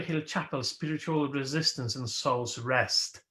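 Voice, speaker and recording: Fairly slow speech in a Polish accent. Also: man. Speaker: minister. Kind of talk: sermon.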